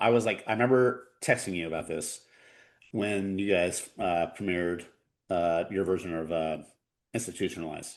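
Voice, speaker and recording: Moderate pace with long, frequent pauses and ordinary pitch variation, over a quiet background. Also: man. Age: 40s. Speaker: punk rock drummer. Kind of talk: casual chat. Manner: halting, many repeated words.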